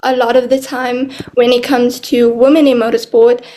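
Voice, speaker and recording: Against noticeable background noise, a woman talks at a moderate pace with a high pitch. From South Africa. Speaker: podcast host. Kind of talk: interview.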